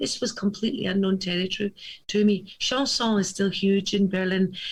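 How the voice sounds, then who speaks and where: Somewhat breathy speech with a Glasgow accent comes at a moderate pace. The pitch varies in an ordinary way. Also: woman. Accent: Scottish (Glasgow area). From Scotland. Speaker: cabaret singer. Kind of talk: casual chat.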